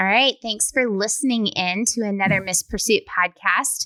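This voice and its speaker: A woman with an American accent speaks at a medium pitch with ordinary pitch variation and a bright, sharp tone, on a very clean recording with a silent background and a dry, close sound with no echo. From US South. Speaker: podcast host. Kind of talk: interview.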